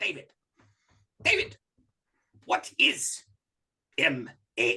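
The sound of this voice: Using a put-on character voice, the speaker talks at a very slow pace. The act includes a strong non-native accent. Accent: thick foreign.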